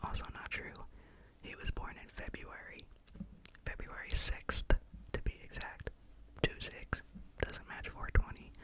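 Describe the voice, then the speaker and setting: Whispering at a fairly slow pace, a woman leaves long, frequent pauses, and her loudness swings widely. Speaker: ASMR artist. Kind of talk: ASMR educational talk. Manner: soft-spoken.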